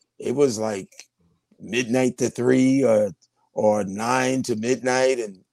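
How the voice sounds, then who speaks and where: This man speaks with a New York accent at a medium pitch. His tone is dark and mellow. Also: dry, close sound with no echo. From New York City (Brooklyn-born, raised in Queens). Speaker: radio veteran. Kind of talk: casual interview.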